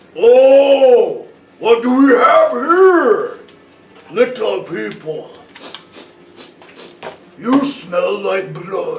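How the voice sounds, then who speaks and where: In a put-on character voice, a man speaks at a very slow pace and an extremely high pitch. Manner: menacing, sniffing.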